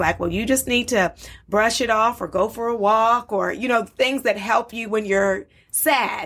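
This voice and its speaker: A woman speaks in a plain, everyday voice with an American accent, fairly high in pitch. Her pace is moderate, and the recording is very clean with a silent background. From US, Baltimore. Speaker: psychologist. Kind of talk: interview.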